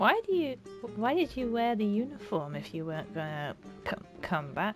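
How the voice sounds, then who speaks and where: A woman speaks at a moderate pace and a medium pitch, her voice swinging very widely up and down, with music playing in the background. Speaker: gamer. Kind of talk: casual gameplay commentary.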